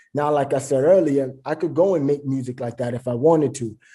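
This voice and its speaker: In a New York accent, the voice has a dark, mellow tone, a moderate pace and ordinary pitch variation. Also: man. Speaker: rapper. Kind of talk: interview.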